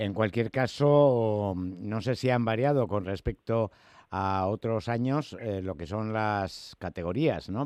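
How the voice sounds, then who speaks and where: The recording has a quiet background and a dry, close sound with no echo. A man with a plain, everyday voice speaks at a fairly low pitch with ordinary pitch variation. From Spain. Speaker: radio host. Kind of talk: radio interview.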